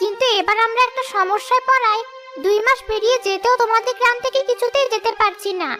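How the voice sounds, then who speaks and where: Over clear background music, a female-sounding cartoonish character voice speaks at an extremely high pitch. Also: moderate pace. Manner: gentle, dignified.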